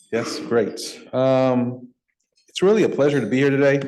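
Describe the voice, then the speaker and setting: A man speaks at a medium pitch with an American accent. Audible room echo is present. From US West Coast, San Francisco Bay Area. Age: 40s. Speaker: nonprofit executive, guest speaker. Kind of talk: speech to a club luncheon. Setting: stage with audience, club meeting.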